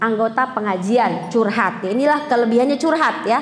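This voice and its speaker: With audible room echo and noticeable background noise, a woman speaks at a fairly high pitch with lively intonation. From South Sulawesi (Bugis). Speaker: female Islamic preacher. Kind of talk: religious lecture. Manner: loud.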